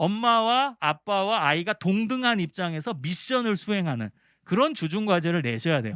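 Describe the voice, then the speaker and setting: A man's high-pitched voice has a bright, sharp tone in a very clean recording with a silent background and a dry, close sound with no echo. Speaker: professor. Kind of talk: lecture. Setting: seminar for church teachers. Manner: fast.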